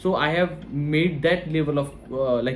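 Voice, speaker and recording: A man's voice sits at a fairly high pitch. Background music accompanies him. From India. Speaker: online course creator. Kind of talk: tutorial. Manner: halting, many fillers.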